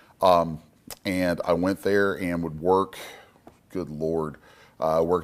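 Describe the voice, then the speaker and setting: In a monotone, flat delivery, a man speaks with a very deep, low pitch. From Eastern Kentucky, coal country. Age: 40s. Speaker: comic book artist. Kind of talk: public talk.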